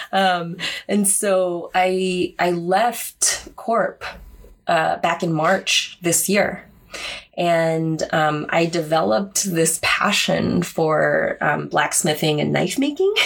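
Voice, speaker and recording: With an American accent, a woman speaks at a very slow pace and very even loudness. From Korea-born, raised New York City and US East Coast. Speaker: podcast co-host, bladesmith. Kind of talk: casual chat. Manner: talkative.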